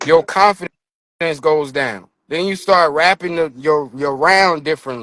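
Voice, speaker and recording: A man with an American accent talks at a fairly high pitch and a moderate pace, with a bright, sharp tone. His pitch variation is ordinary, and the sound is dry and close with no echo. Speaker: battle rapper. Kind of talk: casual chat.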